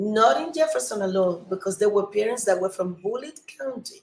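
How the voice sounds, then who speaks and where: A woman speaks with a Cuban accent at a moderate pace and medium pitch. Her voice is somewhat breathy, with ordinary pitch variation. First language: Spanish. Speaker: city council candidate. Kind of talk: live campaign video update. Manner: halting, many fillers and restarts; earnest, emphatic.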